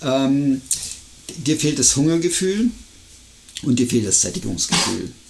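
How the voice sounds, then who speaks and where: A man with a fairly high voice speaks with lively intonation, very even loudness, and long, frequent pauses. Noticeable background noise runs under the recording. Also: fairly slow pace. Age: 50s. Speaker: podcast co-host, amateur trail runner. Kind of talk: casual chat.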